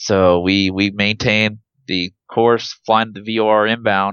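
A man with an American accent and an unremarkable speaking voice, fairly low in pitch, his intonation fairly even. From Nebraska, US Midwest. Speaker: airline pilot. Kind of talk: interview, personal story.

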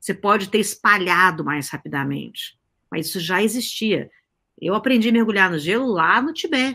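Over a silent background in a very clean recording, a woman at medium pitch talks at a moderate pace with very wide pitch swings. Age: 50s. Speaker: guest on age and society talk show. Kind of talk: casual interview conversation.

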